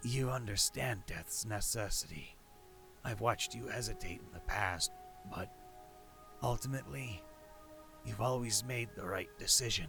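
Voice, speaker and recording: A man does a put-on character voice, croaky and wheezy at a medium pitch, over music in the background. He talks at a moderate pace with long, frequent pauses. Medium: audio drama. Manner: calm, persuasive.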